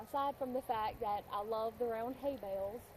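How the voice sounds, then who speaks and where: A moderate pace and ordinary pitch variation in an American accent, with noticeable background noise. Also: woman. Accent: country twang. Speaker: witchcraft video creator. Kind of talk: casual tutorial monologue. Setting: outdoors in a field.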